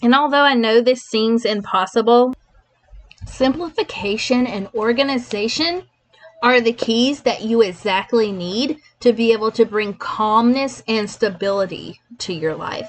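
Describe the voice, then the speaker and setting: The woman's pitch is fairly high and varies an ordinary amount. She talks at a fairly slow pace. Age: 30s. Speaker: podcast host, online business owner. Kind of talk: solo podcast monologue.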